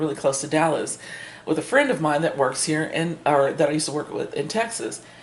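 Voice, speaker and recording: Noticeable background noise sits under an animated tone. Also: woman. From Kansas. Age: 60s. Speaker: book reviewer. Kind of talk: casual chat. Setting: livestream. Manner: halting.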